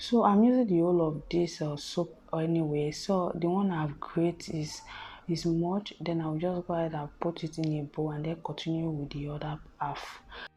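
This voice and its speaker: Soft-spoken and somewhat breathy, a woman with a dark, mellow tone and fairly low pitch talks at a moderate pace with fairly even intonation. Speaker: beauty vlogger. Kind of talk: tutorial.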